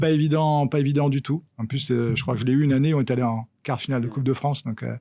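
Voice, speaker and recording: A man speaks at a very fast pace with a dark, mellow tone. His pitch is medium and his intonation fairly even. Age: 50s. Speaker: football federation official, former pro footballer. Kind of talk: podcast interview. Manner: hesitant, many fillers.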